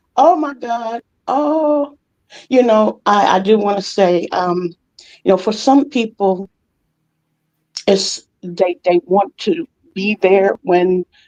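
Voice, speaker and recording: Close and dry with no echo, a woman with a dark, mellow tone and a medium pitch speaks at a very slow pace with lively intonation. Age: 70s. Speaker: retired educator and writer. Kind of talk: casual chat. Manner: halting.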